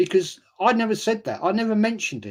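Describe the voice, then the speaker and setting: The tone is animated. The pace is moderate. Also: man. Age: 60s. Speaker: football YouTuber. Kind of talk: live stream chat.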